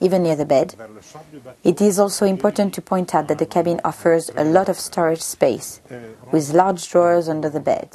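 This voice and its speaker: A woman with an ordinary speaking voice talks at a moderate pace and a fairly low pitch, with fairly even intonation over light background noise. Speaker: boat designer guide. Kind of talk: guided product tour. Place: boat. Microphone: lapel.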